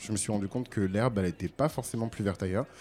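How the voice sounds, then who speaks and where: On a very clean recording with a silent background, a man with a dark, mellow tone and fairly low pitch talks at a very fast pace with ordinary pitch variation. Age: 30s. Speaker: radio co-host, content creator. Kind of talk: casual chat.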